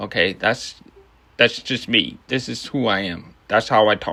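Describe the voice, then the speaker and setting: A man's bright, sharp voice with ordinary pitch variation, at a very slow pace, on a very clean recording with a silent background. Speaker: toy review youtuber. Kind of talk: product review. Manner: casual, halting.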